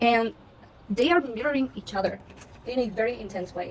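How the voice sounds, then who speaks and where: Ordinary pitch variation marks a woman's voice set fairly high. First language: not English. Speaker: tarot reader. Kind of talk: tarot reading monologue. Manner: animated.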